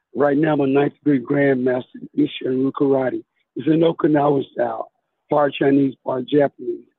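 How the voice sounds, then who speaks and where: This man has an American accent and speaks at a moderate pace. His intonation stays monotone and flat. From US South (Tuscaloosa, Alabama). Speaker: police officer and karate champion. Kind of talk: interview.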